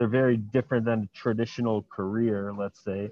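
Using a normal speaking voice, a man speaks at a fairly quick pace with fairly even intonation. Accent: American. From Miami, Florida. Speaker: dating and self-development entrepreneur. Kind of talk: casual interview. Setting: airport.

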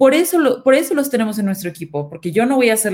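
A woman speaks at a very fast pace. Her pitch swings very widely. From northern Mexico, Nuevo León. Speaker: marketing head. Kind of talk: panel discussion.

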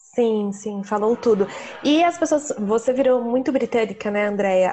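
This is a normal speaking voice. It moves at a moderate pace with ordinary pitch variation. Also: woman. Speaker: travel podcast host. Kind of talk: casual interview.

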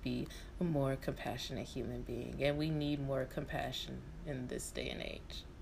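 Fairly slow female speech with audible room echo. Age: 20s. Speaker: podcast host. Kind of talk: casual chat.

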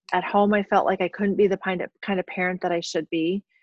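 A woman of medium pitch speaks at a moderate pace in a monotone, flat intonation. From South Dakota. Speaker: professor. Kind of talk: interview. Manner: frequent fillers.

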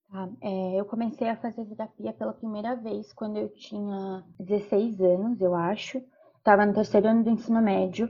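A woman's medium-pitched voice with a monotone, flat intonation at a moderate pace. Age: 20s. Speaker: university student. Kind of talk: interview.

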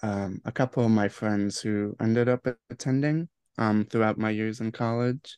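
A man's medium-pitched voice moves fairly slowly, its pitch varying in an ordinary way. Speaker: photojournalism intern. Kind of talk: casual interview. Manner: hesitant, many fillers.

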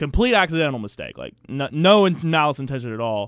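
In a very clean recording with a silent background, a man talks at a fairly quick pace in an ordinary speaking voice with lively intonation. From Virginia. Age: 20s. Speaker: basketball commentator. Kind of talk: casual sports talk. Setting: radio studio.

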